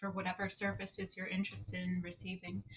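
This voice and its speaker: Here a woman speaks in an American accent. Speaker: psychologist and associate director. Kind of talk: conference presentation. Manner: halting, many fillers.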